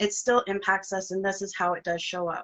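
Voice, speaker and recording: Shaky and nervous in tone, a woman with a bright, sharp voice at a medium pitch speaks at a moderate pace with fairly even intonation. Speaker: interview host. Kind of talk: casual interview chat. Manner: shaky, nervous voice.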